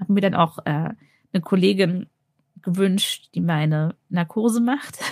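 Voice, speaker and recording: A woman uses an ordinary speaking voice at medium pitch, moving at a fairly slow pace with ordinary pitch variation. The sound is dry and close, with no echo. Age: 30s. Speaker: anesthesiologist and cancer patient. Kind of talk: interview, personal testimony.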